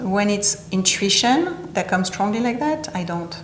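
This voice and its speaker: A woman talks at a medium speed with audible room echo and noticeable background noise around her. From southern France (Nice). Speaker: interview guest, healing practitioner. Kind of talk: interview.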